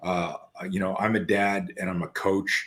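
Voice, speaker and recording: Fairly low-pitched speech from a man with a Canadian accent in a very clean recording with a silent background. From Canada. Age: 60s. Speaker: podcast host and self-defense coach. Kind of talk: casual interview chat. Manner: halting, many fillers and repetitions.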